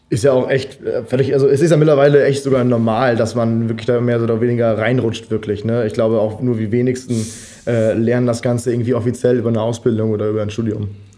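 Amid audible room echo, a man at medium pitch speaks very fast with monotone, flat intonation. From Germany, Münsterland. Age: 20s. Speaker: freelance filmmaker. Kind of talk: casual chat.

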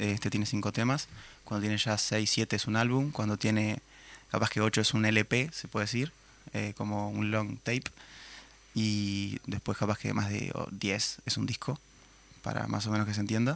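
This man talks at a moderate tempo with a fairly low pitch and fairly even intonation, in a very clean recording with a silent background. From Uruguay, Minas (Lavalleja). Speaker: musician. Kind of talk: interview.

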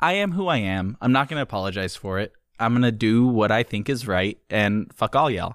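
A man has an unremarkable speaking voice at medium pitch. He talks at a fairly quick pace. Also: lively intonation. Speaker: video game podcast host. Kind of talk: casual comedic chat.

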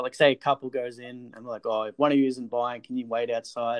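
A fairly quick, medium-pitched male voice. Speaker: podcast host, bar worker. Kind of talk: casual chat.

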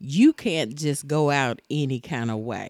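On a very clean recording with a silent background, a woman speaks at a very deep, low pitch. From Tennessee. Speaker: host's mother. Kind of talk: casual chat.

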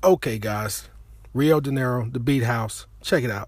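A man's somewhat breathy, animated voice at medium pitch, moderate pace and ordinary pitch variation. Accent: American. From Chicago. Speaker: internet radio host. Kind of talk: casual monologue.

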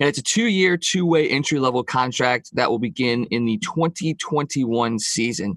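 A man talks in a plain, everyday voice. The sound is dry and close, with no echo. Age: 30s. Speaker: hockey podcast co-host. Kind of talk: casual sports chat.

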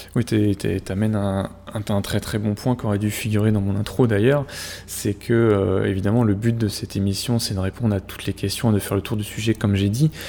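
A man's fairly low voice, monotone and flat, at a fairly quick pace over noticeable background noise. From France, Normandy. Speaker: podcast host, hockey statistics analyst. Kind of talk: casual chat.

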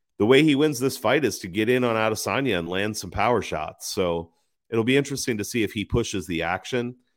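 With an unremarkable speaking voice at medium pitch and ordinary pitch variation, a man talks at a fairly quick pace on a very clean recording with a silent background. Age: 40s. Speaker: MMA betting commentator. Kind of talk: solo livestream commentary. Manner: casual, many filler words.

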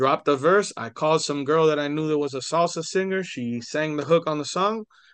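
A man in an American accent talks at a moderate pace with a fairly high pitch and ordinary pitch variation, against a quiet background. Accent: Miami Cuban American English. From Miami, Florida (Hialeah). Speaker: rapper. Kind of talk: casual interview chat.

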